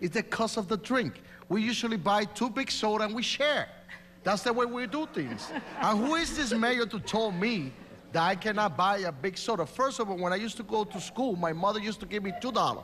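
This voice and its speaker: Amid noticeable background noise, a man with a Puerto Rican accent speaks at a high pitch. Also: lively intonation, fairly quick pace. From Puerto Rico. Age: 40s. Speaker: mayoral candidate. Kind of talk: political debate. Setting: stage with audience. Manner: animated.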